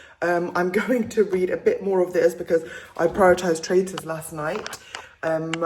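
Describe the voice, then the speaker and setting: Moderately paced speech from a woman, fairly low in pitch, over noticeable background noise. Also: fairly even intonation. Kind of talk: casual vlog talk to camera. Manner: chatty.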